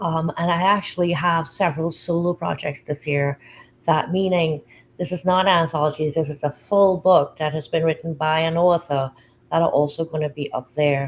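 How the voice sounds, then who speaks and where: Her voice is fairly low and somewhat breathy as the woman talks. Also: fairly even intonation. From Trinidad and Tobago. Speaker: publisher and anthology founder. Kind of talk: livestream interview. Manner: fast.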